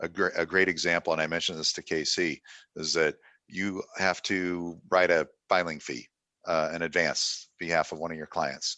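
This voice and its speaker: A man's very deep, low voice has a bright, sharp tone and monotone, flat intonation. The sound is dry and close with no echo, over a quiet background. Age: 60s. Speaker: software company representative. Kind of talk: product demonstration talk. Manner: casual, with filler words.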